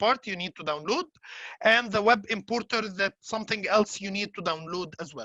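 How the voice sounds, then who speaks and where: A woman with an Arabic accent speaks at a medium pitch with lively intonation and a bright, sharp tone. The sound is dry and close, with no echo. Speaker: software trainer. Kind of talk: tutorial. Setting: webinar. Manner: hesitant, many fillers.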